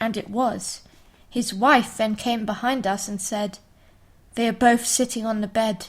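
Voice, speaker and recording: Somewhat breathy, a woman with a fairly high pitch talks at a fairly slow pace with ordinary pitch variation. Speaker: podcast host. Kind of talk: ghost story reading.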